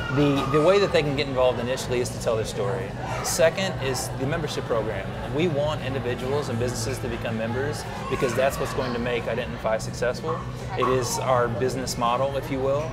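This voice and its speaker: With ordinary pitch variation, a man speaks at a very fast pace through loud background noise. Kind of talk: interview answer. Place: cafe.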